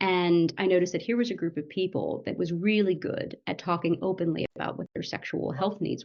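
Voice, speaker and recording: A woman with an American accent talks at a fairly low pitch with vocal fry. Her pace is fairly quick. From United States. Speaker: medical doctor and startup founder. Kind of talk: podcast interview. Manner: conversational, with fillers.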